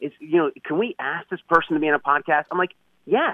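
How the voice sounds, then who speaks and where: This man talks very quickly. His pitch leaps very widely up and down. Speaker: author and podcast coach. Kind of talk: interview.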